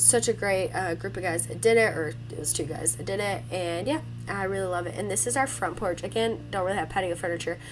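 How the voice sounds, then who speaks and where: Moderate pace amid noticeable background noise. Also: woman. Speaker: home lifestyle vlogger. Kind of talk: house tour vlog. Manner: casual.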